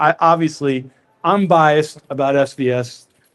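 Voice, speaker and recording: A man speaks in a fairly high pitch. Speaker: audio company executive presenter. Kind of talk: live product presentation. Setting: large retail store with audience, using microphone.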